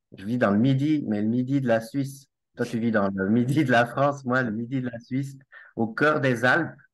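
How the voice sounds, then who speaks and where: In a quiet background, a man with medium pitch talks at a moderate pace with ordinary pitch variation. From Switzerland (Valais, Alps). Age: 40s. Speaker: network marketer and finance director. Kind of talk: casual interview.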